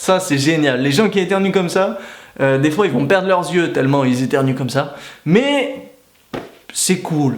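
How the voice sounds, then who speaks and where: Fairly high male voice at a fairly slow pace, with audible room echo and noticeable background noise. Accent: northern French. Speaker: YouTuber. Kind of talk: comedic vlog monologue.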